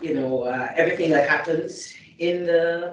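With audible room echo and light background noise, a woman speaks at a moderate pace in a very deep, low pitch. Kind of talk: formal meeting remarks. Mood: earnest, concerned. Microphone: video call.

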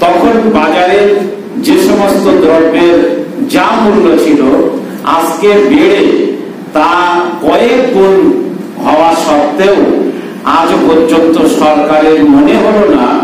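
Light background noise and strong room echo accompany a man's voice. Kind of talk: public speech. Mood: demanding, persuasive. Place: hall. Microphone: podium.

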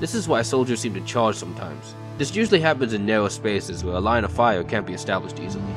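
A man's fairly low voice at a very fast pace, with ordinary pitch variation and music in the background. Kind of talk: game tutorial narration.

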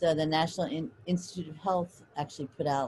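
A woman's very deep, low voice with a dark, mellow tone, a fairly quick pace, fairly even intonation and light background noise. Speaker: professor. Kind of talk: lecture. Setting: video call. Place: home room. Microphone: video call.

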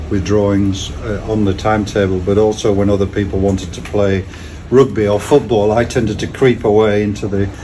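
Noticeable background noise sits behind a man speaking at a moderate pace. His pitch is fairly low and his intonation fairly even. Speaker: interviewee. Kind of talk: interview answer. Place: garden. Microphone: camera far.

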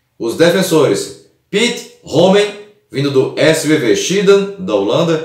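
A man's high-pitched voice, fairly slow in pace, with ordinary pitch variation and audible room echo. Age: 30s. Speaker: football history youtuber. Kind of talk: scripted narration.

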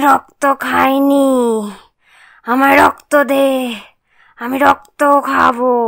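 Someone speaks very slowly in a cartoonish character voice. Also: woman. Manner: shouting, frenzied.

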